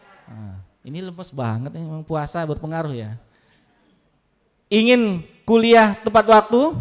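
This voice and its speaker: Animated in tone, the voice moves at a fairly slow pace with very wide pitch swings and big swings in loudness, on a very clean recording with a silent background. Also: man, high pitch for a man. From Lampung, southern Sumatra, Indonesia. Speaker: university staff speaker at student orientation. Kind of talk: motivational talk to new students. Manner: animated, interactive with audience.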